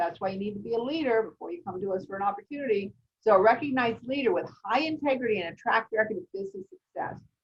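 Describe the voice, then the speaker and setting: Talking at a very fast pace with hardly any pauses, a woman with a fairly high, somewhat breathy voice uses lively intonation and big swings in loudness. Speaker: real estate recruitment presenter. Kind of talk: business webinar presentation.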